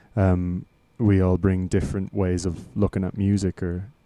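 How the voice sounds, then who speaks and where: With an Irish accent, a man with a very deep, low pitch and a dark, mellow tone speaks in monotone, flat intonation at a fairly slow pace, in a very clean recording with a silent background. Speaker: lead singer and songwriter in a band. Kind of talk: casual interview chat. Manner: halting, many repetitions.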